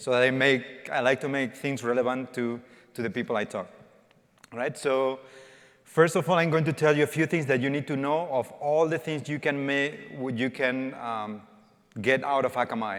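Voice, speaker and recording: A man with a Spanish accent speaks at a moderate pace, his medium pitch moving with ordinary variation. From Spain. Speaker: developer evangelist. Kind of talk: conference talk. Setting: stage with audience. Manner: interactive, informal.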